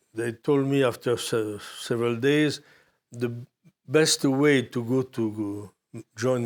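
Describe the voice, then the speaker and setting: A man with a French accent speaks very slowly at a medium pitch with fairly even intonation. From Morocco. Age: 80s+. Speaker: war photojournalist. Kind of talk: interview testimony. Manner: halting.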